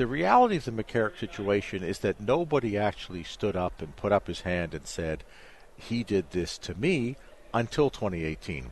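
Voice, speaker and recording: A man's plain, everyday voice, a plain, everyday voice at fairly low pitch with lively intonation. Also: moderate pace. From Canada. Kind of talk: interview. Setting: conference venue.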